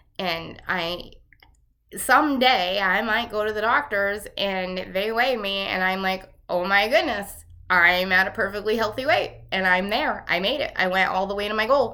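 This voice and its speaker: At a fairly slow pace, a woman talks in a medium-pitched voice with an animated, bright and sharp tone, and the room echo is audible. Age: 50s. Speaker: health vlogger. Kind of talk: casual monologue vlog.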